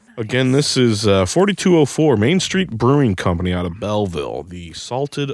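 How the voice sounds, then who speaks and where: The man's medium-pitched voice swings very widely in pitch. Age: 30s. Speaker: podcast host. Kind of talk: casual chat. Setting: studio.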